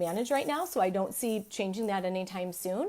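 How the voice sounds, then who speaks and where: A woman speaks with a dark, mellow tone and ordinary pitch variation. The recording is very clean, with a silent background. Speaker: business and marketing coach. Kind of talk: live stream training. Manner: fast; animated.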